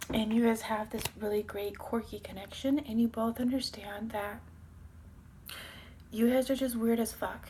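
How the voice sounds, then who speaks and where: Soft-spoken and somewhat breathy, a woman talks at a moderate pace with monotone, flat intonation. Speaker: tarot reader. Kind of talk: tarot reading. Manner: casual.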